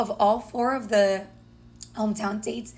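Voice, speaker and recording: Her voice is fairly high and somewhat breathy. The woman speaks in a monotone with flat intonation. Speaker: dating coach, podcast co-host. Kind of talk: casual recap chat.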